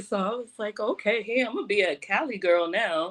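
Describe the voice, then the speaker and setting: A woman with a New York accent, medium pitch and lively intonation. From New York, Brooklyn. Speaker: event producer and hospitality executive. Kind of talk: radio interview.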